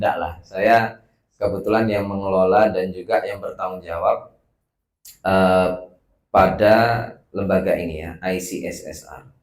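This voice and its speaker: A man's very deep, low voice at a fairly slow pace, with long, frequent pauses, flat monotone intonation and big swings in loudness. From West Sumatra, Padang. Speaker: research institute director. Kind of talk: welcome speech. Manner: casual, hesitant with fillers.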